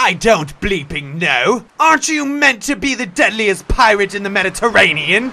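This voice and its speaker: Doing a put-on character voice, a man sounds gruff and high-pitched at a moderate pace. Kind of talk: comic pirate voice. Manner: gruff, cursing, exasperated.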